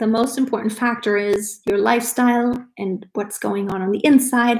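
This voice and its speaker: A woman's somewhat breathy voice, fairly high in pitch, at a moderate pace with fairly even intonation. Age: 40s. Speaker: lifestyle vlogger. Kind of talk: live stream casual chat. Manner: casual, conversational.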